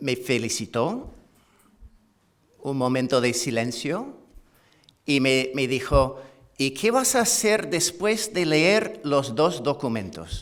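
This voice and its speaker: A man speaks at a very slow pace in a fairly high pitch, with very wide pitch swings. Long, frequent pauses break up his speech, and there is audible room echo. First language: English (speaking Spanish). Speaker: history professor. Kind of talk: conference lecture. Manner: halting, with many fillers and repetitions.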